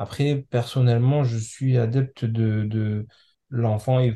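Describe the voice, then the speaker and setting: Dark and mellow in tone, this man's voice sits at a medium pitch. He is somewhat breathy and speaks in a monotone with flat intonation. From France, Comorian parents. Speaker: software engineer and parent. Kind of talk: podcast interview. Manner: halting.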